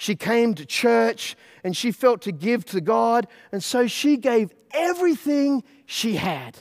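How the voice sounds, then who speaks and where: A man with an Australian accent, extremely high in pitch with very wide swings, at a very slow pace in a dry, close sound with no echo. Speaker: pastor. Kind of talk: sermon.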